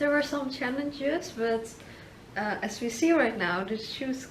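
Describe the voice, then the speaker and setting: A woman speaks with a Dutch accent and ordinary pitch variation. Audible room echo and noticeable background noise fill the recording. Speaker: video marketer and interviewer. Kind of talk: interview.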